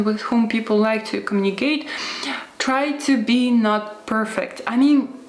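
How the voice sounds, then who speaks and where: With a non-native accent, a woman talks at a moderate pace in a fairly high pitch and fairly even intonation, heard with audible room echo and noticeable background noise. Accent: non-native English speaker. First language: not English. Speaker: lifestyle YouTuber. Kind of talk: advice monologue to camera. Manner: hesitant with filler sounds.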